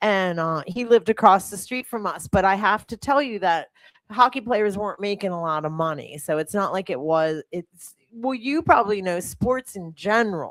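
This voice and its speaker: An ordinary speaking voice, this woman with an American accent talks at a moderate pace and medium pitch with lively intonation, big swings in loudness and hardly any pauses, the sound dry and close with no echo. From US Northeast, Cherry Hill, New Jersey (Philadelphia suburbs). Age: 50s. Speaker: fitness coach and podcast host. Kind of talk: casual chat. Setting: studio.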